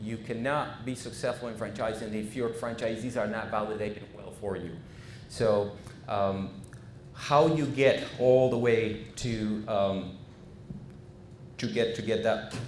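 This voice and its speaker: A man of medium pitch talks at a fairly slow pace with fairly even intonation and long, frequent pauses. Audible room echo surrounds the voice. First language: Spanish. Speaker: franchise consultant. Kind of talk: business presentation. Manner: halting, many fillers.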